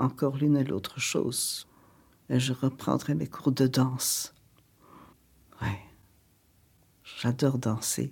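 In a very clean recording with a silent background, a woman with a very deep, low pitch and vocal fry speaks at a very slow pace, leaving long, frequent pauses, her pitch varying in an ordinary way. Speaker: elderly woman interviewed at home. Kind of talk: documentary interview.

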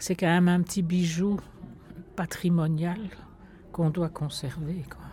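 A woman speaks with a dark, mellow tone and a fairly low pitch. Her voice is somewhat breathy. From Brussels, Etterbeek. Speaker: local resident. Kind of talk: testimony.

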